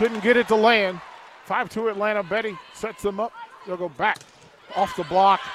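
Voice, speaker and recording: Through noticeable background noise, a man with a high pitch talks at a moderate pace, leaving long, frequent pauses. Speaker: radio play-by-play announcer. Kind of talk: live sports commentary, play-by-play. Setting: courtside in the arena, crowd present. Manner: enthusiastic, hype-builder.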